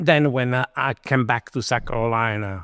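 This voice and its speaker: A man with an Italian accent, medium in pitch, at a moderate pace, with ordinary pitch variation. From Italy. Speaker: chef and restaurant owner. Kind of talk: interview. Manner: halting.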